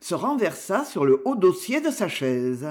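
A passage is read aloud in a natural voice.

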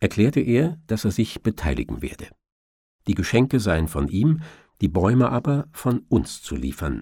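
On a very clean recording with a silent background, a man speaks at a fairly slow pace and a fairly low pitch, his slightly mellow tone carrying a slightly husky edge and big pitch swings.

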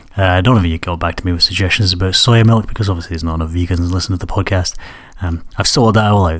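A man speaks at a very fast pace in a low pitch with fairly even intonation.

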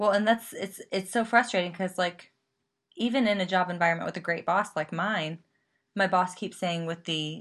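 A woman with an ordinary speaking voice talks at a fairly low pitch with fairly even intonation, over a quiet background. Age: 20s. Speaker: YouTuber and theater performer. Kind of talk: casual chat.

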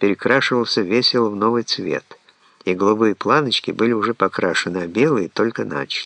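Plain reading aloud comes with ordinary pitch variation.

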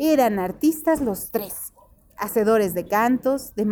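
Text is read aloud in a natural voice. Lively intonation runs through it.

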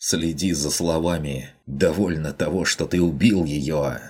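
Growling at a moderate pace, a man uses a put-on character voice pitched very deep and low. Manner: angry, voice shaking with rage.

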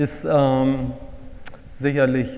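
A man talks at a medium pitch over noticeable background noise. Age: 40s. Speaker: purchasing consultant. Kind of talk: workshop presentation.

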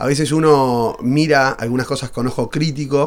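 At a fairly slow pace, a man speaks at a medium pitch.

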